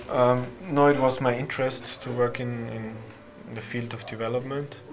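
A man's flat, monotone voice at medium pitch and a fairly slow pace, with audible room echo and music in the background. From Austria. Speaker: development worker and event organiser. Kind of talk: casual interview conversation.

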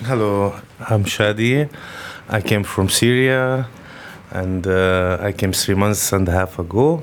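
Over noticeable background noise, a man with a fairly low pitch speaks at a fairly slow pace with long, frequent pauses, very even loudness and ordinary pitch variation. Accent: Arabic. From Lebanon. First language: Arabic. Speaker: refugee carpenter. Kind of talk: interview.

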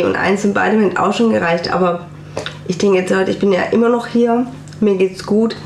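A woman talks at a fairly quick pace. Noticeable background noise and audible room echo fill the recording. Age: 40s. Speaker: cancer survivor and self-help group leader. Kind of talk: radio interview, personal testimony. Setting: radio studio.

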